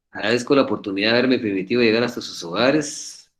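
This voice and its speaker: Here a man speaks at a fairly low pitch. His pitch varies in an ordinary way. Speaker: law professor. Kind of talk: lecture. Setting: video call. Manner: fast.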